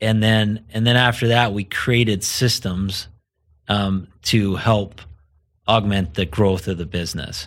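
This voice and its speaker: An ordinary speaking voice from a man with an American accent, fairly low in pitch and fairly even in intonation, at a fairly slow pace in a very clean recording with a silent background. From US, southern Idaho. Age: 40s. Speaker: entrepreneur. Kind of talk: casual interview.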